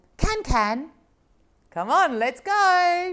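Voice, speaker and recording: Using a put-on character voice, a woman squeaks at an extremely high pitch with very wide pitch swings. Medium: read story. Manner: warm, friendly.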